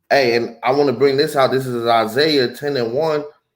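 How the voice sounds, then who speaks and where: A man with a fairly high pitch talks at a fairly slow pace in a normal speaking voice. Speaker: religious teacher. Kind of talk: religious teaching.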